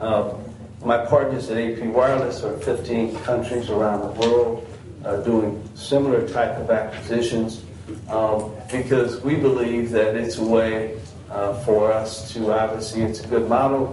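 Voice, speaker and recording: Delivery is fairly slow, with monotone, flat intonation. There is audible room echo and noticeable background noise. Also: man, medium pitch for a man. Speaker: business representative presenting to county board. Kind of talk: business presentation at public meeting.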